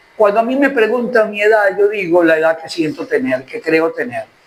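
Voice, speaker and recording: Amid noticeable background noise, a man with a high pitch speaks at a moderate pace with very wide pitch swings. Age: 70s. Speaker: journalist and lawyer. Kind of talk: interview. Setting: restaurant.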